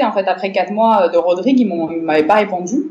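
A woman speaks fairly quickly in a plain, everyday voice with ordinary pitch variation. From Morocco. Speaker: cultural centre director. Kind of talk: interview.

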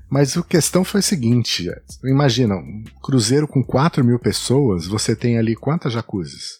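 Somewhat breathy man at medium pitch, fairly slow pace and lively intonation, dry and close with no echo, on a very clean recording with a silent background. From São Paulo state, Brazil. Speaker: travel blogger and podcaster. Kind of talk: casual interview chat.

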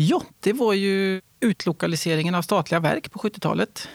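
In a very clean, dry, close recording with a silent background and no echo, a man speaks at a fairly slow pace with ordinary pitch variation. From Värmland, Sweden. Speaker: fighter pilot. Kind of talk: interview. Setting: studio.

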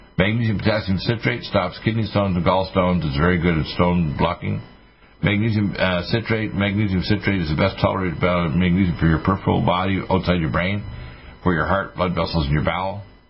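A man with a very deep, low pitch talks at a very fast pace with ordinary pitch variation. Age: 60s. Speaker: radio health show host and physician. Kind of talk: radio talk and product pitch. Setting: studio.

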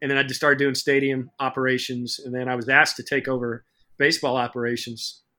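Speaking very fast with an American accent, a man uses a bright, sharp tone at a medium pitch. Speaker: sports business professor. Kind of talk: casual interview chat.

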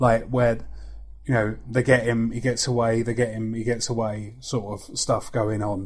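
A man of medium pitch with a slight London accent, somewhat breathy, monotone and flat, at a moderate pace. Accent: London creeping in. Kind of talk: casual chat.

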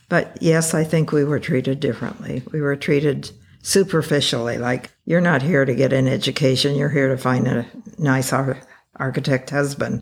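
With an American accent, a woman speaks at a very deep, low pitch. She keeps a moderate pace. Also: ordinary pitch variation. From California (Taft, Central Valley). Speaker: retired architect. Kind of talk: interview.

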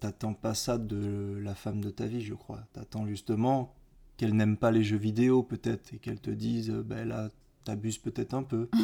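A man speaks at a moderate pace in a fairly low pitch, with a dark, mellow tone and monotone, flat intonation. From Martinique. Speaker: podcast co-host. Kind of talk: casual chat.

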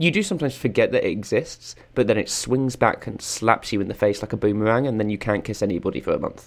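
A man with an English accent talks at a very fast pace. He takes hardly any pauses. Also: medium pitch for a man, ordinary pitch variation. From England. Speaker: political podcast co-host. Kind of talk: casual chat.

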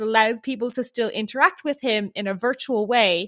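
A woman with an Irish accent, high-pitched and animated at a moderate pace, in a very clean recording with a silent background and a dry, close sound with no echo. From Ireland, Dublin. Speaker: software developer. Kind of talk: casual interview.

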